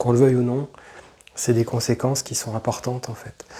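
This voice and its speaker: Monotone and flat in intonation, a man at a medium pitch talks at a fairly quick pace. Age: 40s. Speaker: YouTuber. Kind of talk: personal testimony. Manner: halting, many fillers and repetitions.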